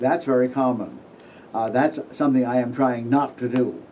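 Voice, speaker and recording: Audible room echo surrounds a man of medium pitch talking at a fairly quick pace. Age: 70s. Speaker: astrologer giving a conference talk. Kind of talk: conference lecture. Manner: halting, with fillers.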